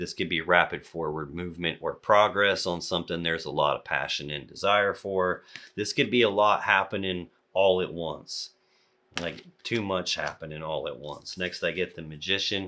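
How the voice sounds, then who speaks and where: A man's very deep, low voice with a bright, sharp tone, on a very clean recording with a silent background. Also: fairly even intonation, moderate pace. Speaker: tarot reader. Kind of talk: tarot reading.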